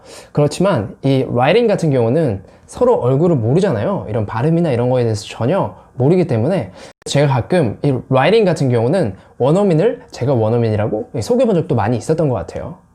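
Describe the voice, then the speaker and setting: Somewhat breathy and dark, mellow in tone, a man's fairly high voice moves at a fairly quick pace with very wide pitch swings. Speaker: English-learning YouTuber. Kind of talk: personal vlog monologue.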